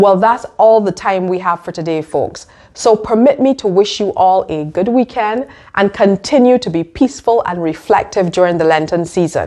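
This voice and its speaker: Her tone dark and mellow, a woman of medium pitch speaks at a moderate pace with lively intonation. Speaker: web series host and diplomat. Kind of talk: scripted monologue to camera.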